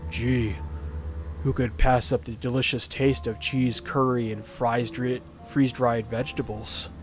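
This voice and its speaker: A put-on character voice mumbles quietly at a fairly slow pace with lively intonation. Music plays in the background. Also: man, medium pitch for a man. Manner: sarcastic, mumbling.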